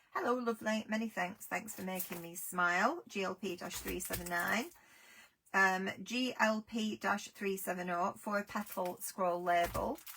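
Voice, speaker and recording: With an English accent, a woman speaks fairly slowly at a medium pitch, her pitch varying in an ordinary way. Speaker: craft product seller. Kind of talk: live sales stream.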